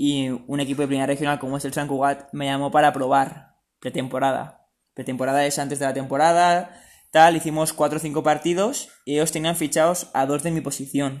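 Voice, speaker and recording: On a very clean recording with a silent background, a man speaks at a fairly high pitch with monotone, flat intonation. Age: 20s. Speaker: semi-professional footballer and student. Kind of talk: interview.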